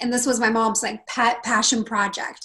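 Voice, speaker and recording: In a West Coast accent, a woman with a bright, sharp tone and fairly high pitch talks at a moderate pace. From northern California. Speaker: confidence coach. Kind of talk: interview.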